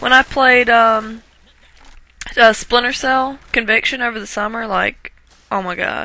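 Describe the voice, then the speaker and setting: Woman's fairly high voice in a strong Southern US accent, fairly slow with long, frequent pauses, fairly even intonation and big swings in loudness. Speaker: gaming commentator. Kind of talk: gameplay commentary. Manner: casual, rambling with fillers.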